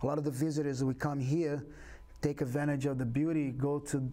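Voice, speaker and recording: With a Brazilian Portuguese accent, a man speaks at a moderate pace in a dark, mellow tone with monotone, flat intonation. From Brazil, Rio de Janeiro. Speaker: capoeira instructor. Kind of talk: interview.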